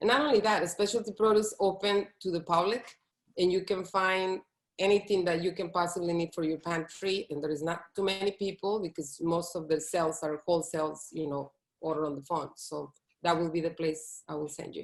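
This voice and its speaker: A woman with a Latin American accent speaks at a fairly quick pace, her fairly low pitch showing ordinary variation. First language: Spanish. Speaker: plant-based chef. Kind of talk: interview.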